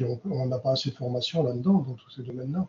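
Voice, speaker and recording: A man's unremarkable speaking voice at a fairly quick pace, with ordinary pitch variation. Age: 60s. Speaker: refrigeration trainer. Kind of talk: panel discussion. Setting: round table.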